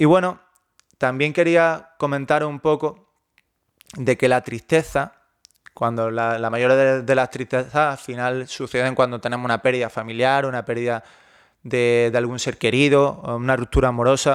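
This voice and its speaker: An unremarkable speaking voice: a man at medium pitch, fairly slow pace and fairly even intonation. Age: 30s. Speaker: online fitness coach. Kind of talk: personal monologue.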